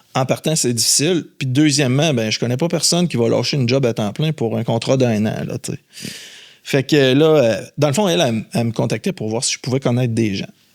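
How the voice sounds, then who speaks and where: In a Quebec accent, a man of medium pitch talks in an animated tone at a fairly quick pace with hardly any pauses and ordinary pitch variation, on a very clean recording with a silent background. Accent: Québécois French. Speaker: headhunter. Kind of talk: podcast interview. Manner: animated storytelling.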